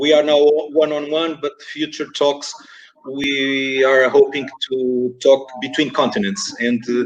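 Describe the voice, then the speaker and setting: A man with a Portuguese accent talks at a very slow pace in a fairly high pitch. His intonation stays fairly even. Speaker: esports organization director, interviewer. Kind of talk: webinar interview. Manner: halting, many fillers and repetitions.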